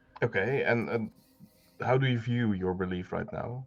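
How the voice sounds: As a man speaks, his pitch shows ordinary variation.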